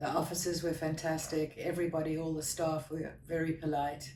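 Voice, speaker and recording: Her pitch is very deep and low, and she keeps to a moderate pace. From South Africa. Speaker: patient giving testimonial. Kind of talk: interview testimonial. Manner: halting.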